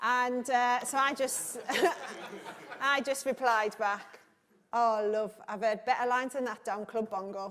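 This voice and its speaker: In a northern English accent, a woman talks fairly slowly at a high pitch. She leaves long, frequent pauses. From northern England. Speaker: conference host and broadcast journalist. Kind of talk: conference hosting with anecdote. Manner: animated.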